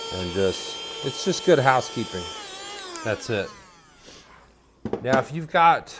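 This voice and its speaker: Against noticeable background noise, a man talks in a relaxed tone at a fairly slow pace, with long, frequent pauses. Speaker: army veteran, 3D print farm owner. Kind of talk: casual tutorial talk to camera. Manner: casual, relaxed.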